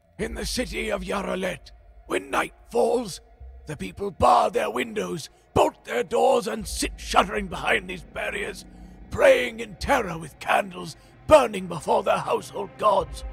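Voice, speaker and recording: A man puts on a raspy character voice at a moderate pace, his loudness swinging widely. Music plays in the background. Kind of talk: fantasy audio drama storytelling. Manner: grave, solemn, ominous.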